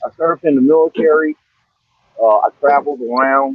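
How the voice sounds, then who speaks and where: A man's fairly high-pitched voice at a moderate pace. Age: 60s. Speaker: military veteran. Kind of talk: panel discussion on a livestream. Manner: halting, many fillers and repeats.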